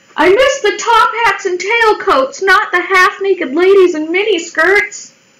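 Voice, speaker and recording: Fairly slow speech from a woman, noticeable background noise behind her. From Colorado, US. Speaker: live streamer. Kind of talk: casual chat while drawing on live stream. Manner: animated.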